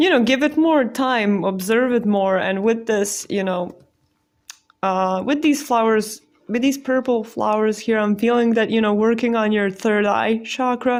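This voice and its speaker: A woman's fairly high pitch with ordinary pitch variation, a fairly slow pace and very even loudness. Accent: non-native. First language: not English. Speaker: tarot card reader. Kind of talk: pick-a-card tarot reading. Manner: casual, hesitant with many fillers.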